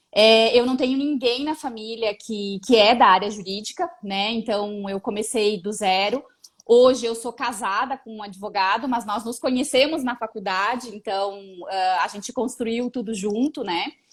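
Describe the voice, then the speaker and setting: A woman's fairly high voice with ordinary pitch variation, big swings in loudness and a fairly slow pace. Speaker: lawyer. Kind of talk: casual interview.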